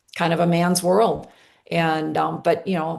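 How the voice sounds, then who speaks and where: A woman's fairly low voice with vocal fry, at a fairly slow pace. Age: 60s. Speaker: coach and former company leader. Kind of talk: testimony.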